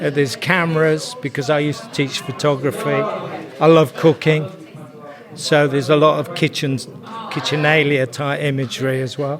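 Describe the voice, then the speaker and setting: A man's fairly high voice carries ordinary pitch variation while noticeable background noise sits behind it. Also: moderate pace. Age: 70s. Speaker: retired art teacher, printmaker. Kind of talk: casual interview at a market stall. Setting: arts and crafts market.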